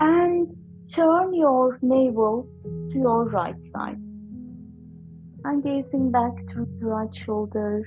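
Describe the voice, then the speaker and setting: A woman speaks at a very slow pace in a calm, gentle tone, leaving long, frequent pauses while music plays in the background. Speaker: yoga and breathwork teacher. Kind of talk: guided yoga class instruction. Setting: online class recording. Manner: calm, gentle, instructional.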